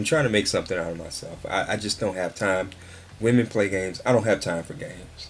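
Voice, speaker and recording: At a very fast pace, a man speaks in a somewhat breathy voice. His pitch is fairly low, with ordinary variation. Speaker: vlogger. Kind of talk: casual monologue rant. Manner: halting, stuttering.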